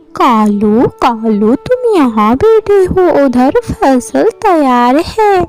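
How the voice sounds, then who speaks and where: In a cartoonish character voice, a woman speaks at a high pitch and a very slow pace, with very wide pitch swings and hardly any pauses. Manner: whiny, scheming.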